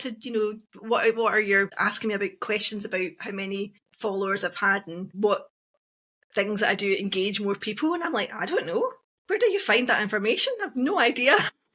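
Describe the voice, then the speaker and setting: A woman with a Scottish accent, bright and sharp in tone, fairly high-pitched, at a fairly quick pace with lively intonation. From Scotland, Glasgow. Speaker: witch and social media creator. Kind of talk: casual chat.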